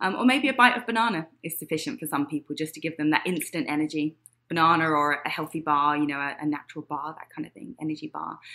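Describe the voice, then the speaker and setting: Speaking with an American accent, a woman has a very deep, low pitch and a bright, sharp tone. She talks at a very fast pace with big swings in loudness. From England (Huntingdon, Cambridgeshire). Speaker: fitness trainer. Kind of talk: interview.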